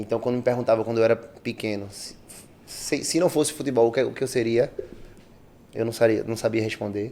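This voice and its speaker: Medium-pitched male voice, dark and mellow, at a fairly quick pace with long, frequent pauses and fairly even intonation. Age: 20s. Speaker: personal trainer. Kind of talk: casual podcast interview.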